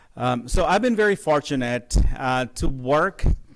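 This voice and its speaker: A man with a non-native accent talks fairly slowly. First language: not English. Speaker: professor. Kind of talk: keynote lecture. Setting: stage with audience. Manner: halting, many fillers.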